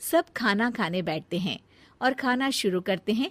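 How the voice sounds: The delivery moves at a fairly slow pace. The intonation is lively. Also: woman, medium pitch for a woman.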